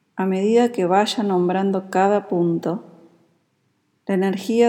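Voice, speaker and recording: A woman speaks very slowly at a medium pitch, her tone dark, mellow, calm and soothing. Her intonation stays fairly even. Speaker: yoga nidra teacher. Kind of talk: guided meditation (Yoga Nidra). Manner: slow, soft-spoken, calm and soothing, with long pauses between cues.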